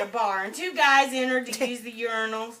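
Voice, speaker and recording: A woman's raised, projected voice at a high pitch and moderate pace, with audible room echo and noticeable background noise. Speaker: storyteller. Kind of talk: storytelling performance.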